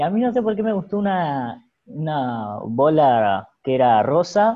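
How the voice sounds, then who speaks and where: A man's voice swings very widely in pitch. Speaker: podcast host. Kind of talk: casual chat.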